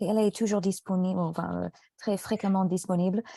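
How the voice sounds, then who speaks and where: Against a quiet background, the speaker talks at a fairly slow pace in an English accent. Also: woman. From United States. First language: English (speaking French). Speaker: French tutor. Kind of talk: casual chat.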